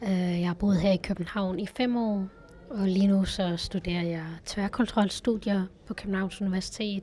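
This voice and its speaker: Noticeable background noise sits behind a woman at medium pitch. She talks at a moderate pace with fairly even intonation. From West Jutland, Denmark. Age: 20s. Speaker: university student. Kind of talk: interview testimony.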